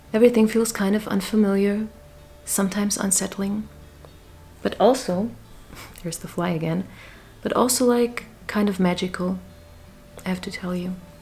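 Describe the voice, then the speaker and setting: Music plays in the background as a woman speaks at medium pitch and a moderate pace. Her intonation is fairly even, with long, frequent pauses. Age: 40s. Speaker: vlogger. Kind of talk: personal vlog monologue. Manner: hesitant, many fillers.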